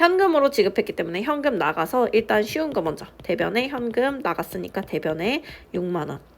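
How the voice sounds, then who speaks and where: Very wide pitch swings from a woman at a fairly high pitch and moderate speed. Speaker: accounting teacher. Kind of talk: lecture.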